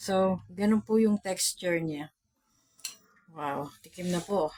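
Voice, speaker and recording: A woman at a very slow pace with long, frequent pauses and ordinary pitch variation, in a dry, close sound with no echo. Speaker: cooking vlogger. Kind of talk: cooking tutorial. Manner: soft-spoken. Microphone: no external mic, quiet.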